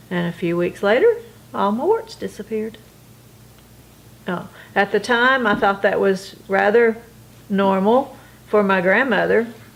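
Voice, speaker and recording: A woman with a North Carolina accent speaks at a medium pitch and a fairly slow pace, with fairly even intonation and long, frequent pauses. Noticeable background noise is audible. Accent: US Southern (North Carolina). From North Carolina, Gastonia. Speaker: oral history interviewee. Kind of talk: interview.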